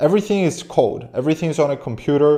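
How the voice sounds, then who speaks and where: A man with a non-native accent at a fairly quick pace. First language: not English. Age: 20s. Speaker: business coach and AI automation agency owner. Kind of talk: online business tutorial. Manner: animated.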